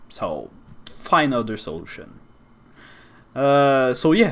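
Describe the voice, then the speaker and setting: A man with a Quebec accent talks at a very slow pace, his pitch fairly high, with long, frequent pauses. Room echo is audible. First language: French. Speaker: YouTuber. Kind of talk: opinion monologue. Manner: animated.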